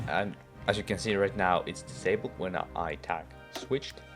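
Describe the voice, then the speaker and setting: Music plays in the background as a man speaks fairly slowly at a very deep, low pitch. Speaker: game mod developer. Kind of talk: casual screen-recorded devlog walkthrough.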